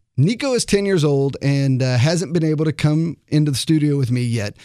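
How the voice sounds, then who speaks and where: A man with a fairly high pitch and a plain, everyday voice speaks at a moderate pace with lively intonation in a very clean recording with a silent background. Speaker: radio host. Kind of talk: radio show hosting, interview. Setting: studio.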